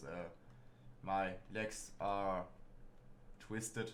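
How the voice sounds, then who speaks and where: A man with a German accent speaks with a very deep, low pitch and fairly even intonation. Audible room echo surrounds the voice. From Germany. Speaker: gaming streamer. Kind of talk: casual let's play commentary. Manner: halting.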